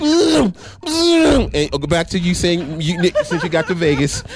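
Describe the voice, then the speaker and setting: Very wide swings in a man's pitch, with noticeable background noise. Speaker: radio talk show co-host. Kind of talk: casual chat.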